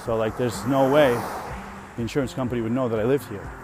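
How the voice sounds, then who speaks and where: The man's delivery is very fast. Background music runs behind him. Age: 30s. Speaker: podcast host. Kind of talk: casual monologue. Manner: animated.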